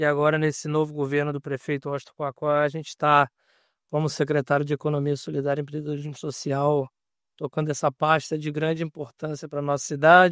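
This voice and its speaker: Over a very clean recording with a silent background, a man with a fairly high pitch talks fairly quickly in a monotone, flat intonation, the sound dry and close with no echo. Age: 30s. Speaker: municipal government secretary. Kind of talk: podcast interview.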